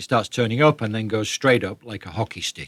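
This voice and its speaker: In a British accent, the speaker talks at a fairly quick pace with fairly even intonation, recorded very cleanly against a silent background with a dry, close sound and no echo. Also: man. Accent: British, retained despite living in US. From northern England, Leeds. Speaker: author, economics writer. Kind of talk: interview.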